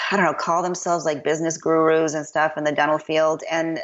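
In a slight Chicago accent, a woman speaks with a fairly low pitch. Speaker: dentist. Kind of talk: casual chat.

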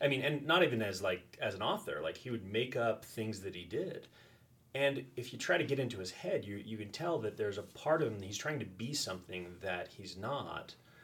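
Using a normal speaking voice, a man at medium pitch talks at a fairly quick pace with lively intonation. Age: 40s. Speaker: high school teacher. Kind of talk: casual chat.

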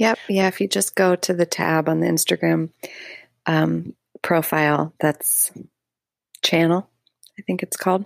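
Long, frequent pauses break up a woman's fairly slow speech, recorded with a dry, close sound and no echo. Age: 30s. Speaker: essayist and arts presenter. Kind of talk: casual interview. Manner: halting, many fillers.

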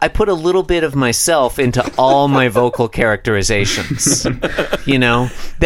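Natural voice for reading

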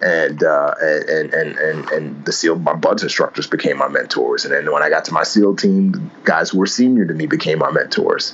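A man talks at a moderate pace with hardly any pauses, over noticeable background noise. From New York City, the Bronx. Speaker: author and former Navy SEAL. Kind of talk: interview.

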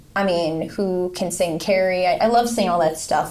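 Her pitch fairly low and her intonation fairly even, a woman talks at a fairly quick pace with an American accent. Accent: Northeastern American with a country twang. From US Northeast (Connecticut). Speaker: country singer and army veteran. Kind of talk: casual interview chat.

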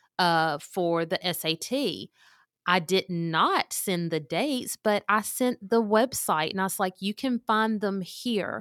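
A woman at a very slow pace with ordinary pitch variation, in a very clean, dry, close recording with a silent background and no echo. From Mississippi. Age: 40s. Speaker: college and career advisor, former English teacher. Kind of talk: interview, conversational.

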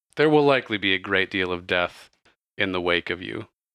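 Putting on a character voice, a man speaks very deep and low with lively intonation at a fairly quick pace. The sound is dry and close with no echo, and the background is quiet.

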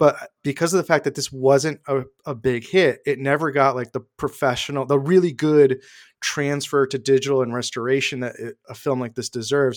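In a plain, everyday voice, a man with an American accent speaks at a moderate pace with fairly even intonation and a fairly high pitch, on a very clean recording with a silent background and a dry, close sound with no echo. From Hartford, Connecticut, US. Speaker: multimedia producer and podcaster. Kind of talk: casual chat.

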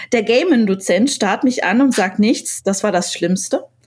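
Speaking at a fairly slow pace, a woman has an ordinary speaking voice pitched fairly high. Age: 30s. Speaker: designer and poet. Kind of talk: casual chat. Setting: remote call.

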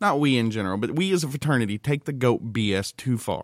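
A man talks at a fairly quick pace with lively intonation and a medium pitch, in an unremarkable speaking voice. The recording is very clean, with a silent background. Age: 30s. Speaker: podcast co-host. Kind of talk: casual chat. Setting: studio.

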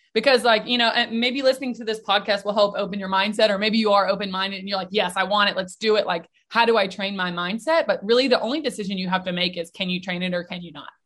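A woman with an American accent speaks at a very fast pace in a medium pitch, with ordinary pitch variation and hardly any pauses. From US South, Nashville, Tennessee. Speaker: mental performance coach. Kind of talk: interview.

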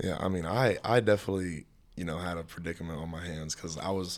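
A man with an American accent speaks at a very fast pace. The recording is very clean, with a silent background. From Tennessee. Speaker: college football player. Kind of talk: casual chat.

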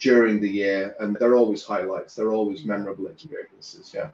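This is a man. He has a normal speaking voice. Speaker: business coach and author. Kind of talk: casual interview chat.

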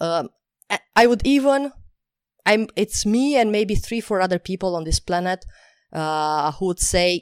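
On a very clean recording with a silent background and a dry, close sound with no echo, a woman with a non-native accent speaks at a moderate pace with ordinary pitch variation. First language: not English. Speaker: talent acquisition expert and podcast host. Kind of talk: interview.

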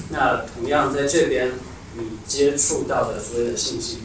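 A man speaks at a moderate pace. Noticeable background noise and audible room echo are present. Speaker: audience member, student. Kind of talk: audience contribution at a live talk. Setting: live event with audience.

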